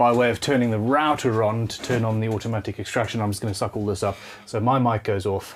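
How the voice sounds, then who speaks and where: A very fast man with a South African accent, medium pitch and fairly even intonation. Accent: South African way of saying off. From Zimbabwe. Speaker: luthier. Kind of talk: live-streamed workshop tutorial. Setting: home workshop.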